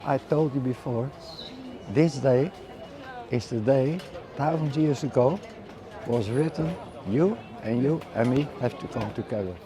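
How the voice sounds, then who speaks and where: With long, frequent pauses at a fairly slow pace, a man talks in a medium pitch with ordinary pitch variation over noticeable background noise. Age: 80s+. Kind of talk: interview answer. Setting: outdoors. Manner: slow, reflective.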